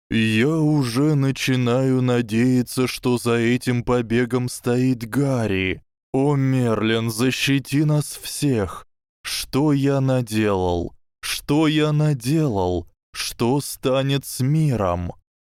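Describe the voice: A shaky, put-on character voice delivered at a very slow pace. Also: man, medium pitch for a man.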